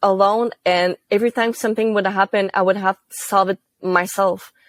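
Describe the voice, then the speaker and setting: Recorded dry and close with no echo, a woman speaks in a Quebec accent. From Quebec, Gatineau. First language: French. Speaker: university student intern. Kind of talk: interview. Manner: casual, with fillers.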